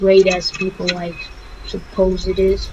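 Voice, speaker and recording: Speech unfolds very slowly while noticeable background noise lingers behind it. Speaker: gaming YouTuber. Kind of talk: let's play commentary. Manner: loud; halting. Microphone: cheap microphone.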